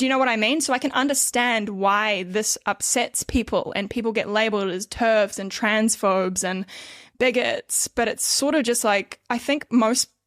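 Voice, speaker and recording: Recorded dry and close with no echo, a woman speaks at a fairly high pitch with fairly even intonation. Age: 30s. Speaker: podcast host. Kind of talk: podcast interview. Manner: halting.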